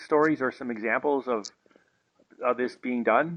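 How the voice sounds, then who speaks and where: A man talks at a moderate pace. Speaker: interviewer. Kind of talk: podcast interview questions.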